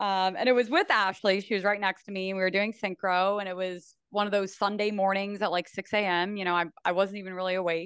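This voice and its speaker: Against a quiet background, a woman with an American accent talks at a medium pitch. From US Northeast (New Jersey). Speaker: sports broadcaster and former diver. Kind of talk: casual interview.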